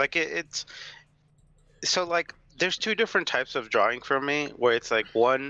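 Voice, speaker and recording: A man's fairly high, bright, sharp voice with lively intonation, a moderate pace and long, frequent pauses, dry and close with no echo against a quiet background. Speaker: artist. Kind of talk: casual chat. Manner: loud.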